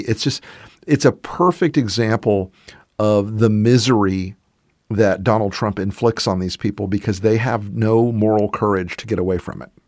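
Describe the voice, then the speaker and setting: An unremarkable speaking voice from a man with an American accent, fairly low in pitch and at a moderate pace, on a very clean recording with a silent background. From US South. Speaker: political commentator. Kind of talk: casual political discussion.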